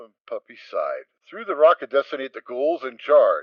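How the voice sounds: A man at a moderate pace, big pitch swings, in a dry, close sound with no echo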